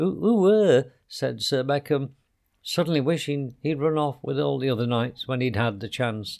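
A quiet background sits behind a natural reading voice.

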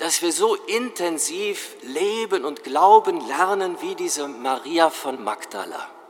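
A man is speaking. Music plays in the background. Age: 60s. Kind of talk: sermon.

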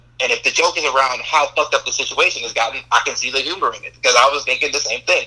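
In an American accent, a man races along at a very fast pace with hardly any pauses and big swings in loudness. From US South. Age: 20s. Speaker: podcast guest, friend of host. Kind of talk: casual chat.

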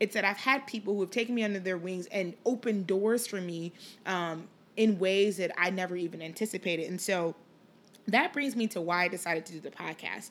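A woman at a fairly quick pace, with a plain, everyday voice, medium pitch and ordinary pitch variation, in a very clean recording with a silent background. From Liberia, moved to Chicago at eight. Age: 30s. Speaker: podcast host, sports marketing executive. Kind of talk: casual monologue. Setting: home recording in apartment.

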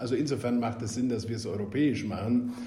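Noticeable background noise and audible room echo are present. A man speaks at a medium pitch. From Bavaria, Augsburg (Swabia). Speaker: member of European Parliament. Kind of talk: podcast interview.

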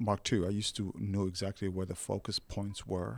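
With a Somali accent, a man speaks fairly slowly at a fairly low pitch in a very clean recording with a silent background. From Somalia. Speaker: photographer. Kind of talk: casual interview. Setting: studio.

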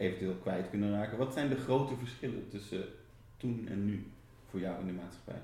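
A man talks at a fairly low pitch. Audible room echo surrounds his voice. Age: 40s. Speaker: interviewer. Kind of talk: interview. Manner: halting.

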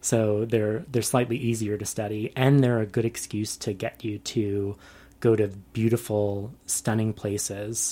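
In a very clean recording with a silent background, a man with an American accent speaks at a fairly slow pace in a fairly low, dark, mellow voice with monotone, flat intonation. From New York City. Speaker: research ecologist. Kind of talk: interview.

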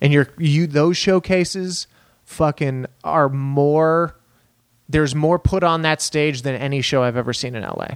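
Speaking in an American accent with an unremarkable speaking voice, a man talks at a fairly high pitch and fairly slow pace with fairly even intonation, the sound dry and close with no echo. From Texas, El Paso. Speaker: stand-up comedian. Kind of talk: casual chat.

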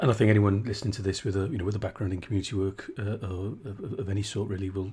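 A man's fairly low, somewhat breathy voice, very fast and fairly even in intonation, on a very clean recording with a silent background. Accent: South Wales. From South Wales. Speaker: podcast host. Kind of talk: interview.

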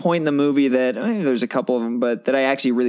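This is plain reading aloud, with pitch that moves in an ordinary way.

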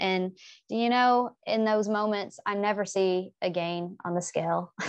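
With an American accent, a woman at medium pitch uses a plain, everyday voice and fairly even intonation against a quiet background. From US South. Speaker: English professor. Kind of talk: casual interview.

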